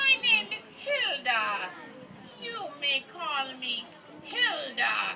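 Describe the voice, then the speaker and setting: A woman does a high-pitched character voice at a very slow pace, with long, frequent pauses and clear background noise. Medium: stage play. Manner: stiff, terse, broken phrasing.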